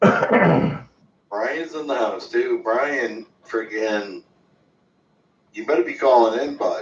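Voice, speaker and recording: A man's very slow speech with long, frequent pauses. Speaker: caller on prospecting livestream. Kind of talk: casual livestream chat. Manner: loud.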